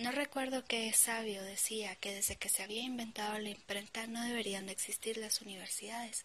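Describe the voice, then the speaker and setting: Over noticeable background noise, a woman with a fairly high pitch speaks in a monotone, flat intonation at a moderate pace with hardly any pauses. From Guatemala. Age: 20s. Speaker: podcaster. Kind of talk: motivational monologue.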